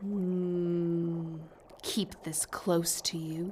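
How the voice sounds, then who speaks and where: A put-on character voice, female-sounding and fairly low in pitch for a woman, monotone and flat, against clear background noise. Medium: audio drama. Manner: curt, imperious.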